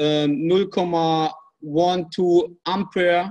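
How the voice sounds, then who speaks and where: Speaking very slowly with a non-native accent, a man uses a high pitch and ordinary pitch variation. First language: not English. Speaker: off-grid energy hobbyist. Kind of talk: group video call discussion. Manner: halting, many fillers.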